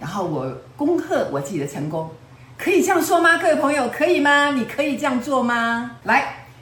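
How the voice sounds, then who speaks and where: A woman's high-pitched, animated voice at a moderate pace, with very wide pitch swings, audible room echo and noticeable background noise. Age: 70s. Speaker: self-help teacher. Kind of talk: lecture.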